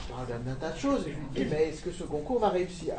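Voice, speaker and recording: High-pitched male speech with audible room echo and noticeable background noise. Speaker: conference moderator. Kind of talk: panel discussion. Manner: fast.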